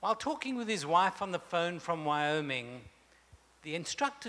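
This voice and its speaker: A man speaks in a bright, sharp tone. His pitch swings very widely. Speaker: speaker. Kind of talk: sermon. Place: hall. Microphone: handheld.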